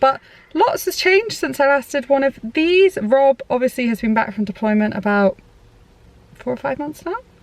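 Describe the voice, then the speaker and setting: A woman with a British accent speaks at a high pitch with very wide pitch swings, the sound dry and close with no echo. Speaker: parenting vlogger. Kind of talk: casual chat. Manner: fast.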